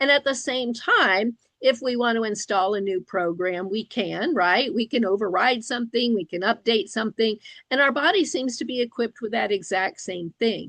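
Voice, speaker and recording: An unremarkable speaking voice from a woman, pitched fairly high, lively in intonation, moderate in tempo. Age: 60s. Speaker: licensed professional counselor and interviewer. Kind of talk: interview discussion.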